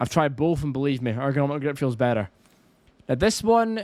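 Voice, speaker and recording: In a Scottish accent, a man speaks fairly quickly with a fairly high pitch. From Scotland. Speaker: gaming YouTuber. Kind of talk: gameplay tutorial commentary. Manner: fast; casual.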